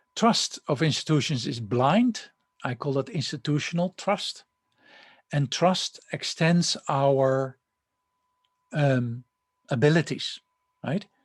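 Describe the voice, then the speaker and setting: Against a quiet background, a man speaks very slowly in a somewhat breathy voice, with lively intonation and long, frequent pauses. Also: fairly high pitch for a man. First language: not English. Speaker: university lecturer. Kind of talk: lecture. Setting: recorded online lecture with slides. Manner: hesitant, many fillers and restarts.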